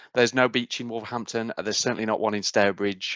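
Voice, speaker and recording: A man speaks with a Midlands accent. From English Midlands, Cannock. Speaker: university outreach speaker. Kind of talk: presentation.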